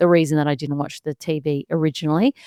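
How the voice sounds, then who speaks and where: A woman with an Australian accent, very deep and low pitch and a dark, mellow tone, dry and close with no echo on a very clean recording over a silent background. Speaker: podcast host, solo mum. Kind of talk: casual podcast talk. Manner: calm, relaxed.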